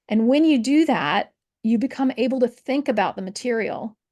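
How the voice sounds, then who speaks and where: A woman's plain, everyday voice at a moderate pace, with ordinary pitch variation against a quiet background. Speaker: history professor. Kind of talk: interview conversation.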